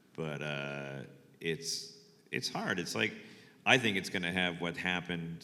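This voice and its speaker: A man with a very deep, low voice speaks with a bright, sharp tone, vocal fry, and fairly even intonation. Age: 60s. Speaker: photographer. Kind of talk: panel talk. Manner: halting.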